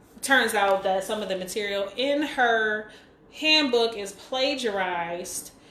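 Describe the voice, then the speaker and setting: Audible room echo around a woman's fairly high voice, with ordinary pitch variation. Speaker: livestream host. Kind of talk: casual chat. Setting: live stream on Instagram. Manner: fast.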